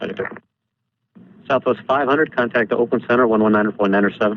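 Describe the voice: A man speaks at a fast pace with ordinary pitch variation. His pitch is fairly low.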